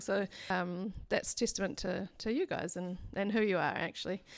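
Recorded very cleanly over a silent background, the speaker has a plain, everyday voice and fairly even intonation. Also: woman. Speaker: church leader. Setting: church with congregation.

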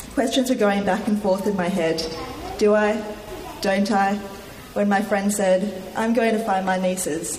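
With an Australian accent, a woman talks at a fairly slow pace and medium pitch, keeping fairly even intonation and very even loudness, with long, frequent pauses and noticeable background noise. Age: young. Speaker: church member giving testimony. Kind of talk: testimony read from prepared text. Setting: church with congregation, microphone.

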